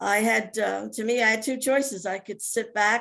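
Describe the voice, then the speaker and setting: A woman with a New Jersey accent against a quiet background. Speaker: Alzheimer's advocate living with the disease. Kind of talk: testimony. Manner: halting.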